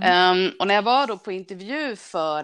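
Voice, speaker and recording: Very wide pitch swings against a quiet background. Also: woman. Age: 40s. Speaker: railway traffic manager. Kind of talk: casual interview.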